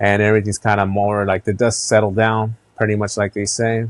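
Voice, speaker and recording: Set against a quiet background, the voice has a relaxed tone and a moderate pace, with a dry, close sound and no echo. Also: man. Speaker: podcast host and reseller. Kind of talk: casual solo podcast. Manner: relaxed, conversational with filler words.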